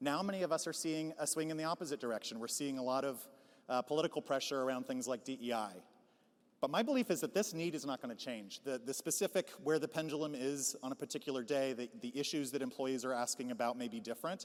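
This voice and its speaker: Talking at a very fast pace, a man uses a fairly high pitch with ordinary pitch variation, in a very clean recording with a silent background. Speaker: HR consultant and conference speaker. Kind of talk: conference keynote talk. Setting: stage with audience.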